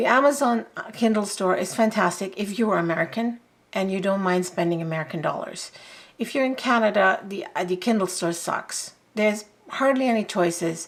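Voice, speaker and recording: At a moderate pace, a woman speaks with lively intonation and a medium pitch. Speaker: YouTuber. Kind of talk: casual chat review. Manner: halting, many self-corrections.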